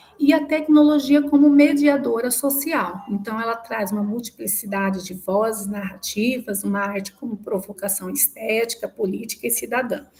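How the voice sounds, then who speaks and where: A woman's fairly high voice at a moderate pace, hardly any pauses, ordinary pitch variation and big swings in loudness, with noticeable background noise. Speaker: student defending thesis. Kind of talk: academic presentation. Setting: video call.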